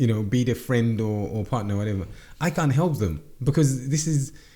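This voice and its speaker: A man talks at a moderate pace with lively intonation. His tone is dark and mellow and somewhat breathy. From Zimbabwe. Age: 40s. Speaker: entrepreneur. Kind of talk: interview. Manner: halting, many repetitions.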